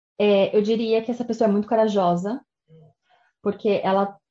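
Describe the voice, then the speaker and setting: This woman talks at a moderate pace with a dark, mellow tone at medium pitch. The background is quiet. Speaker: immigration and study abroad advisor. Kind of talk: interview.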